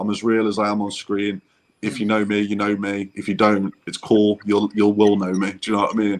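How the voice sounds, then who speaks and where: Here a man talks with a Derby accent. His voice is fairly low, and his pace is fairly quick. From English Midlands, Burton upon Trent (Derbyshire area). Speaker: travel vlogger. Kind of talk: casual interview chat.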